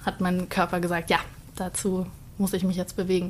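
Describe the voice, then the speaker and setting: Somewhat breathy, a woman talks with monotone, flat intonation. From Bavaria, Starnberg. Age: 20s. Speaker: dance student. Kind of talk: casual interview chat.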